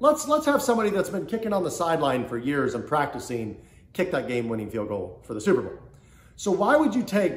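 A man talks at a very fast pace, with audible room echo around him. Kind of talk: casual advice vlog. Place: home room. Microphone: phone near.

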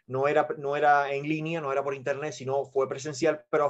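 This man rushes along at a very fast pace, his intonation monotone and flat. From Cuba. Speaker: network marketing presenter; presenter. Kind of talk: sales pitch. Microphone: video call.

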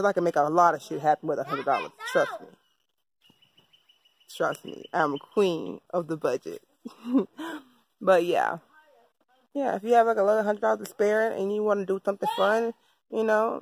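A woman speaks with long, frequent pauses in a dry sound with no echo. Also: moderate pace. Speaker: vlogger. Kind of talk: casual vlog chat. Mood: relaxed, upbeat. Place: garden. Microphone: phone near.

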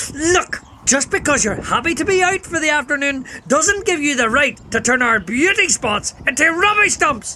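A cartoonish character voice in a Northern Irish accent speaks at a high pitch and a moderate pace over clear background noise. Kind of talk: public service announcement. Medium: puppet. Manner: blunt, scolding, exasperated.

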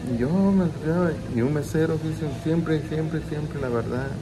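Noticeable background noise fills the recording. A man speaks at a moderate pace over it. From Mexico, Michoacán. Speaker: vlogger. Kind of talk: personal storytelling. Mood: nostalgic, emotional storytelling. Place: home room. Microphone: phone near.

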